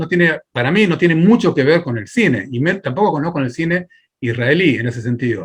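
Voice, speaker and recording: Lively intonation from a man with an ordinary speaking voice, a fairly high pitch and a moderate pace. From Argentina. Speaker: filmmaker and film teacher. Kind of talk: interview.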